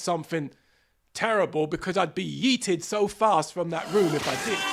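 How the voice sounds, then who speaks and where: A high-pitched male voice, animated in tone and fairly quick, with ordinary pitch variation in a very clean recording with a silent background. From England, London. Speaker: podcast host. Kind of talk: solo podcast monologue.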